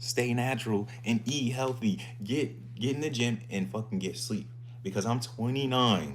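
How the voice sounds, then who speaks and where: A man with vocal fry speaks at a medium pitch and a moderate pace, in an animated tone. Audible room echo surrounds his voice. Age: 20s. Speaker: fitness streamer. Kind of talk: casual live stream chat.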